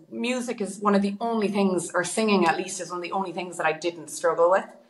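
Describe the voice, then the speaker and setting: Speaking very fast, a woman uses a medium pitch and ordinary pitch variation against noticeable background noise. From Ireland, Galway. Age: 20s. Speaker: singer and busker. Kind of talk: casual interview chat.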